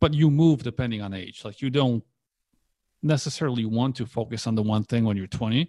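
A man with a Polish accent and a dark, mellow tone at a fairly quick pace. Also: medium pitch for a man, ordinary pitch variation, dry, close sound with no echo. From Poland, moved to US at ten. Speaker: online entrepreneur. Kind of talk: casual interview.

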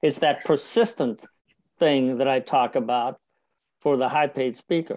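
A man with an ordinary speaking voice, fairly high pitch and moderate pace, against a quiet background. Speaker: professional speaker and speaker coach. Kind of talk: interview.

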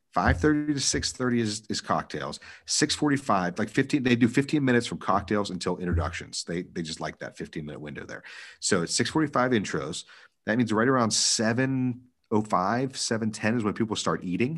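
A plain, everyday voice talks at a fairly quick pace with lively intonation over a quiet background. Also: man, medium pitch for a man. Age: 30s. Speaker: wedding DJ. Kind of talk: casual chat.

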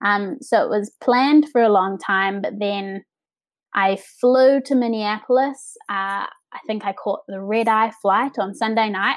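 The speaker has a New Zealand accent and a fairly slow pace. Pitch variation is ordinary, and the recording is very clean with a silent background. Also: woman, fairly high pitch for a woman. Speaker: set and projection designer. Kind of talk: interview. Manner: hesitant with fillers.

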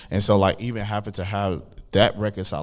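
A man talks at a fairly quick pace. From Oklahoma, US. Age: 20s. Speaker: podcast co-host. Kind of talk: casual group discussion. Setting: live audience in room.

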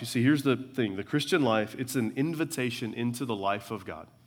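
A man with a medium pitch talks at a moderate pace, using ordinary pitch variation. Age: 40s. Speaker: preacher. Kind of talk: church sermon expounding scripture, building to pastoral application. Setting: church service with congregation. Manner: conversational with frequent uh fillers and stumbling repetitions; earnest, rhythmic preaching cadence with repeated phrases for emphasis.

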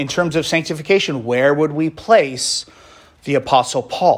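At a moderate pace, a man speaks in a plain, everyday voice with ordinary pitch variation. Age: 40s. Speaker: pastor. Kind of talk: sermon.

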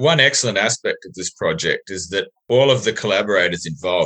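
In an Australian accent, the speaker uses a bright, sharp tone, ordinary pitch variation, and a moderate pace. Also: man. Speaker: podcast host. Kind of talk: interview, casual.

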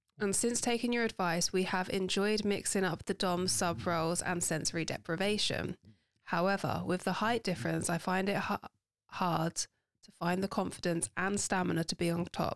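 A woman's medium-pitched voice with vocal fry, ordinary pitch variation, very even loudness and a moderate pace, in a dry, close sound with no echo on a very clean recording with a silent background. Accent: London. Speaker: podcast host. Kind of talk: casual chat.

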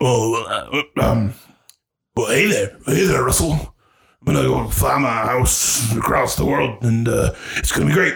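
A man puts on a raspy character voice at a medium pitch, speaking at a fairly slow pace with long, frequent pauses. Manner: cheerful.

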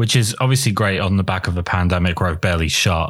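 Speaking fast in an English accent, a man has a low pitch and a fairly bright tone. His pitch variation is ordinary.

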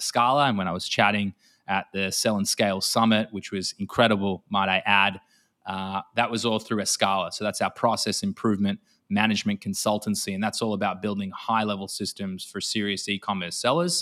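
A man with an Australian accent speaks at a fairly quick pace in a fairly low pitch, his bright, sharp tone and fairly even intonation captured in a very clean recording with a silent background and a dry, close sound with no echo. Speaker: e-commerce consultant. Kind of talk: interview conversation about business systems.

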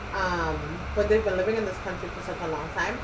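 A woman speaks while noticeable noise runs in the background. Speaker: podcast co-host. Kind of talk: casual chat. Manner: playful, likes singing.

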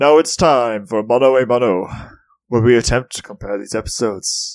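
The put-on character voice moves at a fairly quick pace with ordinary pitch variation. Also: man, medium pitch for a man. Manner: exaggerated, put-on.

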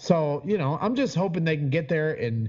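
Somewhat breathy and fairly high, a man's voice moves at a fairly quick pace with lively intonation. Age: 30s. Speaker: sports fan podcaster. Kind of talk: casual chat.

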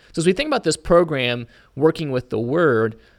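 A man with an unremarkable speaking voice, an American accent, lively intonation and a fairly quick pace. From Indiana, US Midwest. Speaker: preacher and podcast co-host. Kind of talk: Bible study discussion.

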